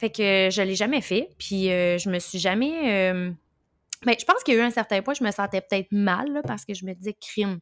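With a Quebec accent, a woman talks at a fairly quick pace and medium pitch, her intonation lively and the sound dry and close with no echo. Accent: Québécois French. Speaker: podcast host, birth doula. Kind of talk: casual interview chat.

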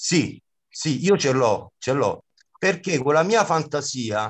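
Against a quiet background, a man with an ordinary speaking voice and fairly high pitch speaks at a moderate pace with lively intonation. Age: 50s. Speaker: comic actor and clown. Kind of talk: interview.

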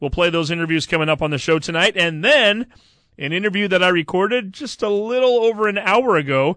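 A man with an American accent has a high pitch and a bright, sharp tone. He talks at a fairly quick pace with lively intonation over a quiet background. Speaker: sports radio co-host. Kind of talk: casual sports talk and interviews.

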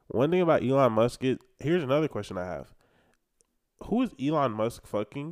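An animated man talks at a fairly quick pace with medium pitch and lively intonation. The recording is very clean and dry, close with no echo, over a silent background. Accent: American. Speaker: college rodeo roper. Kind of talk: casual chat.

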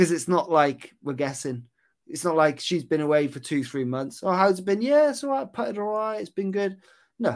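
A man's high voice with very wide pitch swings, in a very clean recording with a silent background. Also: moderate pace. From West Wales. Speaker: golf putting coach. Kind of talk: casual chat.

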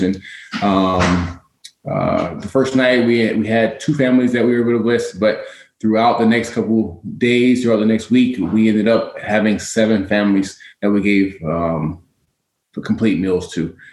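With a normal speaking voice, a man speaks at a moderate pace, a fairly low pitch and fairly even intonation. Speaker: guest, community volunteer and shift worker.

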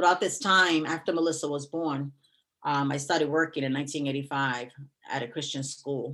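On a very clean recording with a silent background, a woman with a New York accent speaks in a very deep, low voice with fairly even intonation at a moderate pace. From New York City (Bronx). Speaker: retired teacher. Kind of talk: personal testimony in interview.

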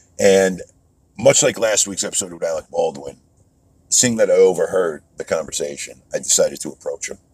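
Speaking at a fairly quick pace, a man makes big swings in loudness. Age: 30s. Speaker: podcast host and actor. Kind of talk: motivational monologue.

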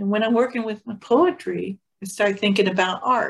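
Somewhat breathy, a woman with a fairly high pitch speaks at a fairly slow pace with ordinary pitch variation. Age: 60s. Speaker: podcast host. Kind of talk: casual chat. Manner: halting.

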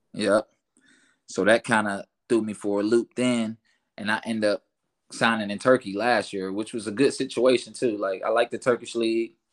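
A man speaks at a medium pitch and a moderate pace in a flat monotone. The sound is dry and close with no echo, on a very clean recording with a silent background. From Orlando, Florida. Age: 20s. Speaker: professional basketball player. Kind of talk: casual chat.

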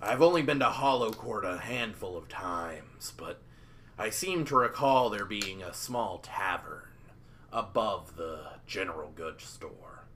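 Over clear background noise, a man in a put-on character voice speaks gruff and rumbling at medium pitch and a fairly slow pace, with very wide pitch swings and big swings in loudness. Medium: actual play. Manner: gruff, grumbling.

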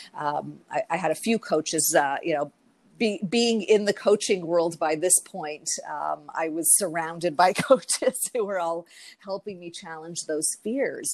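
Speaking with a Canadian accent, a woman uses a fairly low pitch with ordinary variation at a fairly slow pace. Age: 40s. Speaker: mental health coach. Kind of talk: interview testimony. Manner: hesitant, many fillers.

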